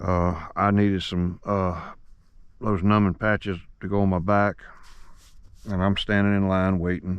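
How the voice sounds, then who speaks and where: Speaking with a Southern US accent, a man talks at a fairly low pitch and a fairly slow pace, with long, frequent pauses. His intonation stays monotone and flat. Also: quiet background. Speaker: fishing vlogger. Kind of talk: outdoor vlog narration. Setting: outdoors.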